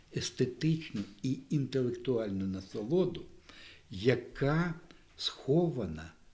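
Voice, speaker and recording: Somewhat breathy and dark, mellow in tone, the voice moves at a very slow pace. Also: man. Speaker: event host. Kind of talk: introductory speech. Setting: library event with audience. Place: hall. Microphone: studio mic.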